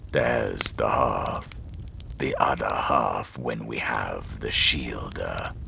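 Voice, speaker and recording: A man puts on a croaky, hissing character voice and talks at a very slow pace over clear background noise. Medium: read story. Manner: menacing.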